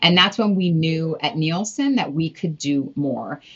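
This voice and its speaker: A woman speaks in an American accent at a moderate pace. Her pitch varies in an ordinary way. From Los Angeles, California. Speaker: media research executive. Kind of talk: casual interview.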